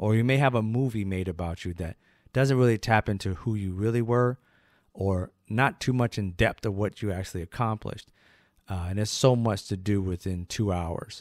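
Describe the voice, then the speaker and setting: A man's fairly low voice at a moderate pace, with ordinary pitch variation, a dry sound with no echo and a quiet background. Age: 50s. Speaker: history channel host. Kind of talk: educational biography talk. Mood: earnest, appreciative. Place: studio. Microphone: studio mic.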